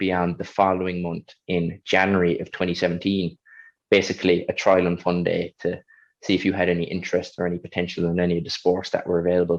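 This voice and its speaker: A man with a Kerry Irish accent speaks with a very deep, low pitch at a fairly quick pace. His intonation is monotone and flat against a quiet background. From Ireland, County Kerry (Killarney). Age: 20s. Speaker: Paralympic athlete. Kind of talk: interview.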